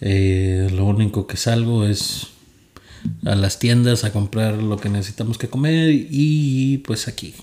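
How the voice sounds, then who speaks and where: A man speaks at a very slow pace with ordinary pitch variation. His tone is dark and mellow. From Monterrey, Nuevo León, Mexico. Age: 20s. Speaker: podcast co-host. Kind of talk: casual chat.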